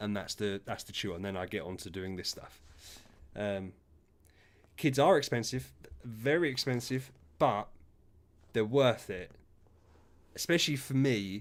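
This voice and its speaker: A fairly low-pitched man with an English accent, moderate in pace, lively in intonation, with big swings in loudness and long, frequent pauses. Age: 30s. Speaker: gaming streamer. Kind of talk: casual chat. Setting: live stream.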